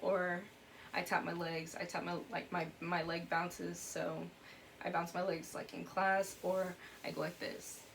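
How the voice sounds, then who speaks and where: Audible room echo surrounds a woman speaking at a medium pitch. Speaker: YouTuber. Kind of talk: personal vlog. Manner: fast.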